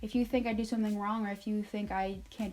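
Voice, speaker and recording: A woman talks at a fairly quick pace. Her voice is fairly high-pitched and somewhat breathy. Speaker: retail store manager and vlogger. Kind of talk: casual advice vlog. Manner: animated.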